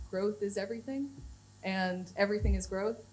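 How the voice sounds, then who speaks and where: Somewhat breathy and medium in pitch, a woman's voice moves at a moderate pace amid audible room echo. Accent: American. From United States. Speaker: head of content at a software company. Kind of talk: conference talk. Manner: casual, many fillers.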